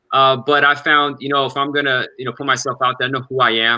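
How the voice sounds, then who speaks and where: With an American accent and a medium pitch, a man talks at a very fast pace. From Los Angeles and Iran. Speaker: immigration lawyer. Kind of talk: podcast interview. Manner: excited, sometimes slurring.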